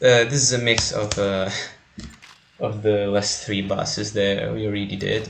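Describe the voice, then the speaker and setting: A man with a non-native accent speaks at a fairly slow pace in a fairly low, monotone voice with flat intonation, while noticeable background noise and audible room echo fill the recording. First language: not English. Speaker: gaming video creator. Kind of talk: gameplay tutorial. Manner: hesitant, many fillers.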